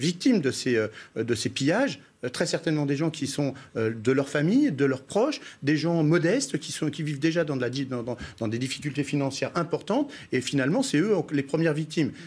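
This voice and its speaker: A man's fairly high-pitched voice at a fairly quick pace, with ordinary pitch variation, on a very clean recording with a silent background. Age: 60s. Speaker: local politician. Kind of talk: TV news debate. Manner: halting, many repetitions.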